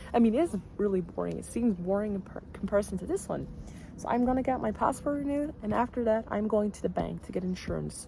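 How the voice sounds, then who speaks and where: A woman talks at a very fast pace with a medium pitch and ordinary pitch variation. Noticeable background noise is present. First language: Dutch. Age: 20s. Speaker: vlogger. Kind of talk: casual vlog talk.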